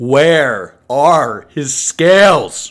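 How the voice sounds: Growling in a put-on character voice, a man speaks at a fairly high pitch.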